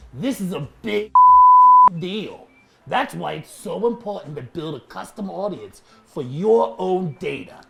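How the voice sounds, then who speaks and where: Sound effects play in the background behind a put-on character voice pitched in the middle range. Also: fairly slow pace. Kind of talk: comedic explainer on social media marketing.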